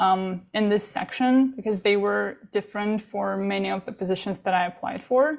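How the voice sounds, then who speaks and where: A woman speaks with a non-native accent at a moderate pace, her pitch medium. She barely pauses, and her pitch varies in an ordinary way. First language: not English. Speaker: international student panelist. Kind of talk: panel presentation.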